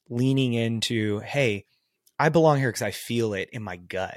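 With a Texan accent, a man talks at a medium pitch. The recording is very clean with a silent background and a dry, close sound with no echo. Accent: Texan American. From Texas, small town. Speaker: life coach and consultant. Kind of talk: casual chat.

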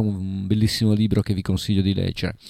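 A man speaks with a dark, mellow tone. The recording is very clean and dry, with a silent background and a close sound free of echo. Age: middle-aged. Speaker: radio host. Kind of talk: radio music show.

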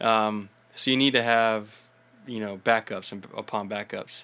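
The tone is bright and sharp, and the recording is very clean with a silent background. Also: man. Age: 20s. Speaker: World Cup dodgeball player. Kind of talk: casual interview. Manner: halting, many restarts.

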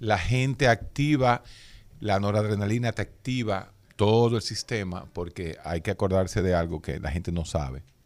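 Moderately paced, a man's speech sits fairly low in pitch. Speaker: radio host and doctor. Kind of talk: radio health talk with callers. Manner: animated.

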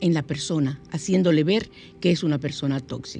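With music in the background, a woman speaks in an animated tone at a moderate pace. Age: 60s. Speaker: radio host. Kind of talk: spiritual talk radio show.

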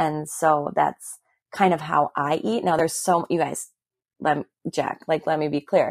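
A woman with an American accent, very deep and low in pitch, fairly even in intonation, in a dry, close sound with no echo and a very clean recording against a silent background. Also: moderate pace. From Milwaukee, Wisconsin, US Midwest. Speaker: fitness instructor. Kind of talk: casual chat.

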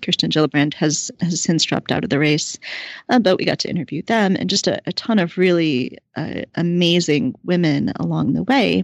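A woman with an American accent talks at a moderate pace, her fairly low pitch carrying vocal fry and lively intonation. The sound is dry and close, with no echo. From rural Ohio, US Midwest. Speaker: political activist and podcast host. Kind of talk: interview.

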